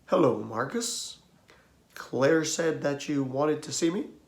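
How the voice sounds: Putting on a gravelly character voice, a man talks at a fairly slow pace with a fairly high pitch.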